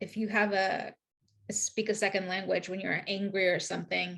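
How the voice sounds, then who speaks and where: A woman talks at a fairly slow pace with vocal fry. Her medium-pitched voice is monotone and flat. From Queens, New York. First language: Spanish. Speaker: author. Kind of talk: interview conversation. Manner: halting, many fillers.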